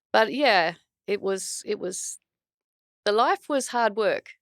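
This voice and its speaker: In an Australian accent, a woman speaks at a very slow pace with lively intonation, the sound dry and close with no echo. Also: long, frequent pauses. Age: 60s. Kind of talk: podcast interview. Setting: studio.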